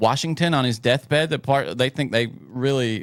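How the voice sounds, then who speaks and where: Speaking with an American accent at medium pitch and a moderate pace, a man shows ordinary pitch variation in a dry, close sound with no echo. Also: very clean recording, silent background. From US South. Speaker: podcast co-host. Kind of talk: casual chat. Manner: animated.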